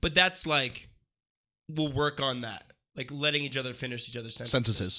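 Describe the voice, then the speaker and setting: Loud and bright with a sharp tone, a man's fairly high voice moves with ordinary pitch variation over a very clean recording and a silent background. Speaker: podcast co-host. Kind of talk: casual chat. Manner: fast.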